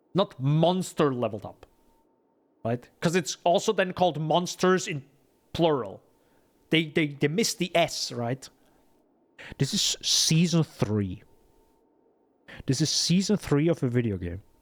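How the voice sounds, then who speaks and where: A man's fairly high voice in a non-native accent, lively in intonation, broken by long, frequent pauses. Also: fairly slow pace. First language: not English. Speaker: game streamer. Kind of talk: live gameplay commentary. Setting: live stream. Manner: animated.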